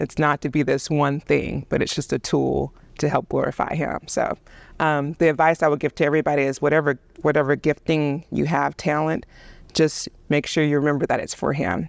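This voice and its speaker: A woman's very deep, low voice with vocal fry and a Southern US accent, monotone and flat at a moderate pace, with a dry, close sound, no echo and a quiet background. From US South, Alabama. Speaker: video producer and director. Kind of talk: casual chat. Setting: church.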